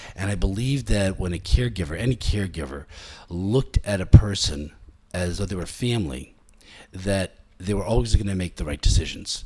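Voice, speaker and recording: This man's very deep, low voice has a dark, mellow, somewhat breathy tone, lively intonation, big swings in loudness and a fairly quick pace. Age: 60s. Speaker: chiropractor. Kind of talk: interview. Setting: his office. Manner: halting, with many fillers.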